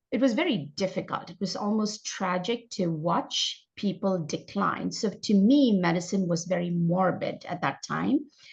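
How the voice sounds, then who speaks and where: The voice is somewhat breathy and moves at a moderate pace with ordinary pitch variation. The background is quiet. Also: woman, medium pitch for a woman. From India. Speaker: functional medicine doctor. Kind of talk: interview.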